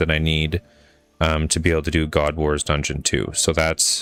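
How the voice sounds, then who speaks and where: Speaking at a moderate speed, a man's voice sits very deep and low. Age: 30s. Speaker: video game streamer. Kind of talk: casual live stream gameplay chat. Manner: casual, rambling with fillers and repeats.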